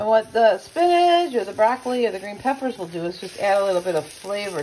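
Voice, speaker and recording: Very wide pitch swings stand out over light background noise. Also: woman. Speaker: home cook vlogger. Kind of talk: casual cooking tutorial. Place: kitchen. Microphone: phone near.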